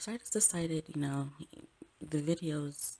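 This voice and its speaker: Whispering from a woman. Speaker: astrologer. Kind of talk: casual talk to camera. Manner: whispered.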